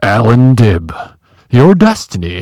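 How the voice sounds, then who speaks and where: Putting on a character voice, a man booms at medium pitch with very wide pitch swings. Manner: grand, declarative.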